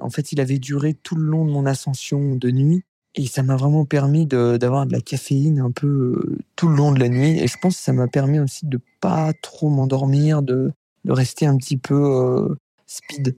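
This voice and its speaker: A man with a fairly high pitch and a dark, mellow tone speaks in monotone, flat intonation at very even loudness. The sound is dry and close, with no echo. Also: fairly slow pace. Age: 20s. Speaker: alpinist and ski instructor. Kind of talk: interview. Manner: hesitant, many fillers and repeated words.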